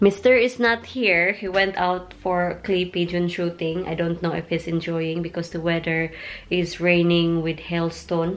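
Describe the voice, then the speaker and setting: Fairly slow, fairly even speech with a Filipino accent. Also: woman, fairly low pitch for a woman. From Philippines. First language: Tagalog. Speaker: vlogger. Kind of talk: casual vlog talk.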